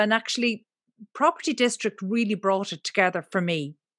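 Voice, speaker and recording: With an Irish accent, a woman speaks at a moderate pace and with lively intonation, recorded dry and close with no echo against a quiet background. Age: 40s. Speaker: property media entrepreneur. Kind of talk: interview conversation.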